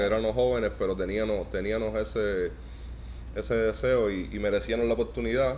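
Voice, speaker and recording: In a Cuban accent, a man speaks at a fairly quick pace. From Cuba, Santa Clara. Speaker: professional basketball player. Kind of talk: interview. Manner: halting, many repetitions.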